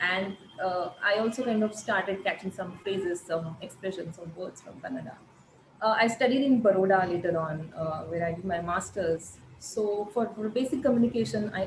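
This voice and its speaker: A woman at a medium pitch talks at a fairly quick pace with ordinary pitch variation and big swings in loudness, over noticeable background noise. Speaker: arts researcher and journal editor. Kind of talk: online panel conversation. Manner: halting, many fillers.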